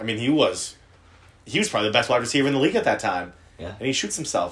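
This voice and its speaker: With an American accent, a man's fairly high voice has a bright, sharp tone, vocal fry and very wide pitch swings. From US South. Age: 20s. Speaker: podcast co-host. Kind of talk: casual chat.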